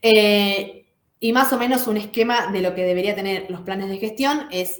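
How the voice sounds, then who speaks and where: A woman talks at a medium pitch with fairly even intonation. There is audible room echo. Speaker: lecturer. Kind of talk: lecture. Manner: fast.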